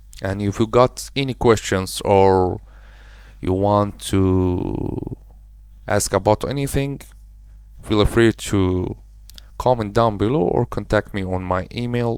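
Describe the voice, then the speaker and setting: Speaking at a very slow pace with long, frequent pauses, a man with a non-native accent keeps to a fairly low pitch with ordinary variation. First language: not English. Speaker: web design tutorial creator. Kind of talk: screen-recorded software tutorial. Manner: casual, slightly halting non-native phrasing.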